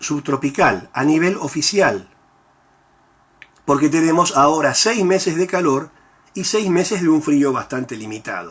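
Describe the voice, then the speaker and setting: This man speaks at a fairly slow pace with lively intonation. His pitch is fairly high. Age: 60s. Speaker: university professor. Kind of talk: lecture. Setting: recorded at home.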